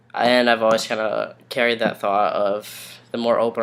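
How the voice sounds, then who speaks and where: Amid noticeable background noise, a man speaks at a moderate pace with a fairly low pitch and monotone, flat intonation. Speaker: vlogger. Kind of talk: casual vlog. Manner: hesitant, many ums.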